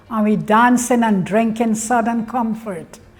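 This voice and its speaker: The pace is fairly slow. A somewhat breathy quality runs through the voice. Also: woman. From Guyana. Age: 80s+. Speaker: migrant sharing memories. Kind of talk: testimony.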